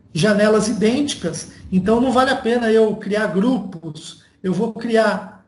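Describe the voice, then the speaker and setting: A man is speaking. There is audible room echo around his voice. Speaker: university lecturer. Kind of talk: online lecture. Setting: video call from home.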